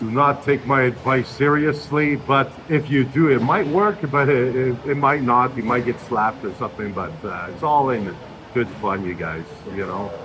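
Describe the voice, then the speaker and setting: Noticeable background noise behind a man at a medium pitch, with lively intonation and a moderate pace. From Canada. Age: 50s. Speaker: retiree, gym-goer. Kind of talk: casual chat. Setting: gym.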